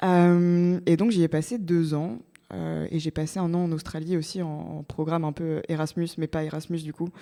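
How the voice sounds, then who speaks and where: Speaking at a moderate pace, a woman uses a fairly low pitch, fairly even intonation and a dark, mellow tone. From France, Normandy (Évreux). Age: 20s. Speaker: startup co-founder. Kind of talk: podcast interview. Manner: many filler hesitations (euh).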